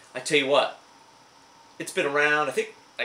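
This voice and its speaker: A very fast, enthusiastic man with an American accent over noticeable background noise. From Indiana, USA. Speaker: licensed auctioneer and antique dealer. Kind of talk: casual talk to camera, show-and-tell of antique finds. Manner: enthusiastic, chatty.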